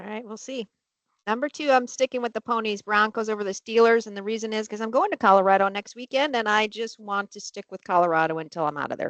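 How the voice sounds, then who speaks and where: At a very fast pace, a woman with a fairly high pitch and ordinary pitch variation makes big swings in loudness. The sound is dry and close with no echo, over a quiet background. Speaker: webcast co-host. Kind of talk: casual chat.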